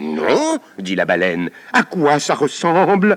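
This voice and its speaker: A man uses a put-on character voice at a fairly high pitch. He goes at a fairly slow pace, with a dry, close sound and no echo. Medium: read story. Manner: loud, demanding.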